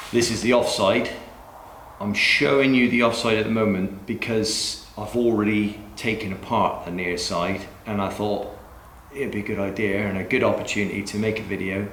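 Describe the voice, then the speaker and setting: A man with a strong West Country accent, fairly low pitch, fairly even intonation and a moderate pace, with audible room echo and noticeable background noise. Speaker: DIY car mechanic YouTuber. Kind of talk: tutorial. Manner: casual, chatty.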